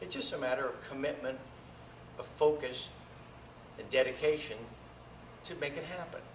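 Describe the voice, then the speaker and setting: Someone with an American accent speaks at a moderate pace with long, frequent pauses, amid audible room echo and noticeable background noise. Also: man. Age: 60s. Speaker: political candidate. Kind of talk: campaign speech. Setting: forum with live audience.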